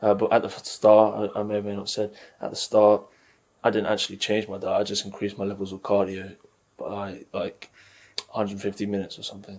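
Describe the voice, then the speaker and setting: In a British accent, a man speaks at a fairly quick pace and fairly low pitch, his intonation monotone and flat while his loudness swings widely. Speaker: fitness vlogger. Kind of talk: casual vlog.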